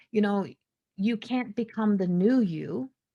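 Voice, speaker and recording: Lively intonation marks this woman's medium-pitched voice, spoken with a Newfoundland accent. The background is quiet. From Newfoundland, Canada. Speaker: spiritual consultant and psychic medium. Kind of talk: podcast monologue. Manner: small neurological delays in speech; halting, self-correcting.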